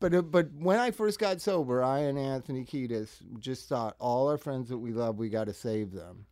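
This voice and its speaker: A man with an American accent, medium pitch and very wide pitch swings, dark and mellow in tone, at a moderate pace. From Los Angeles suburbs. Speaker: singer and drug counselor. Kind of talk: casual chat.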